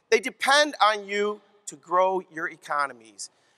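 A man speaks in a raised, projected voice with a bright, sharp tone. His pitch varies in an ordinary way over a quiet background. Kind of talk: keynote speech. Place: hall. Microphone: headset.

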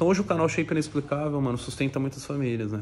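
Over light background noise, a man speaks in a somewhat breathy voice with ordinary pitch variation. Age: 30s. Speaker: YouTuber, fitness influencer. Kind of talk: casual vlog monologue. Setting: at home. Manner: animated, slangy. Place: home room. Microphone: phone near.

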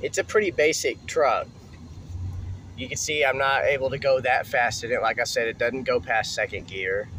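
Moderate-paced speech, dry with no echo, over light background noise. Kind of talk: casual vlog chat. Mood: relaxed, joking. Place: car. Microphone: phone near.

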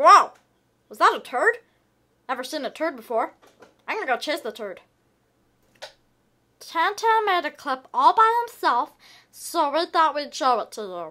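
A cartoonish character voice speaks at a high pitch with very wide pitch swings. The pace is moderate, broken by long, frequent pauses. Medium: puppet. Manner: upbeat.

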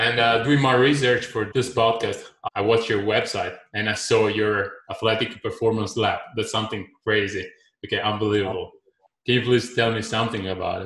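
A man talks at a medium pitch and moderate pace with monotone, flat intonation. The background is quiet, but room echo is audible. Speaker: podcast host. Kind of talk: interview. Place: home room.

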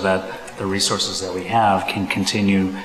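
A man talks at a moderate pace and a fairly low pitch, in a flat monotone. Audible room echo and light background noise are present. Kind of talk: formal presentation to a board. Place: meeting room. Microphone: podium.

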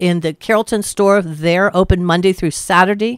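At a moderate pace, a woman talks with fairly even intonation in a dry sound with no echo. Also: quiet background. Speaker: radio guest. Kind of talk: interview answer.

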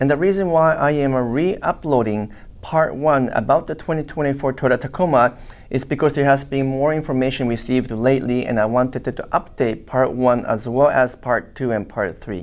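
A man is speaking here. His pace is moderate and his pitch variation is ordinary. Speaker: automotive engineer commentator. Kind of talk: commentary. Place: studio.

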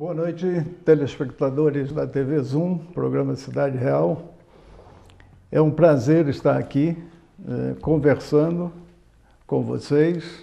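Very slow and marked by long, frequent pauses, a man's speech unfolds. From Nova Friburgo area, Rio de Janeiro state, Brazil; Rio de Janeiro state, Brazil. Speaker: municipal finance official, former banker; guest. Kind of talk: TV interview. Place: studio. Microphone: lapel.

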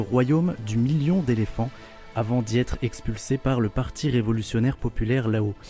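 Over music in the background, a man speaks at a moderate pace with medium pitch and ordinary pitch variation. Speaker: radio show host. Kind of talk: radio programme introduction.

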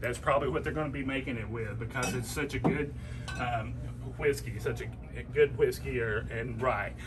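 A man with a Tennessee accent talks at a moderate pace. Noticeable background noise runs underneath. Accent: Southern US (Tennessee). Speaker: fishing guide promoting a liquor store. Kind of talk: promotional product showcase. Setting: in a liquor store. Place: shop. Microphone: phone near.

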